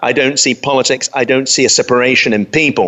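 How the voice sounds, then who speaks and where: With a London accent and a fairly high pitch, a man speaks over noticeable background noise. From London, England. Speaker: pastor and radio host. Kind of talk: solo talk radio monologue.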